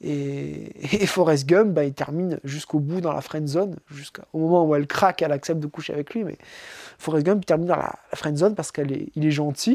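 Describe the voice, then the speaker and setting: A man's fairly high, fairly quick voice with ordinary pitch variation, in a very clean, dry, close recording with no echo and a silent background. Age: 30s. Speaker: podcaster. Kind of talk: improvised solo monologue. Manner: halting, many fillers.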